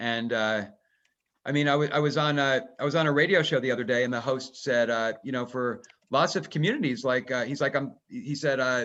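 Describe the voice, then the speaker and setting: With an American accent, a man talks in an ordinary speaking voice at a medium pitch and a fairly quick pace, using ordinary pitch variation over a quiet background. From New Jersey. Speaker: author. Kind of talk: webinar conversation.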